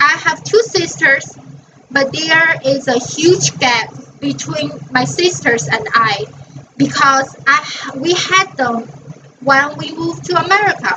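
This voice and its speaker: A woman speaks very slowly in a Chinese accent over noticeable background noise. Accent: Mandarin Chinese. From northern China (Dalian). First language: Mandarin Chinese. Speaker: college student. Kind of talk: class presentation.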